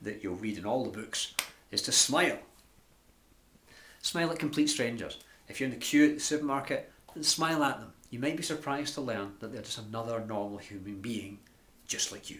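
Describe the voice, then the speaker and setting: Someone with a Glasgow accent speaks in an animated tone with ordinary pitch variation. There are long, frequent pauses and big swings in loudness. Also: man, medium pitch for a man, fairly quick pace. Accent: Scottish (Glasgow). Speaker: life and business coach. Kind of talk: tutorial. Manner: fast.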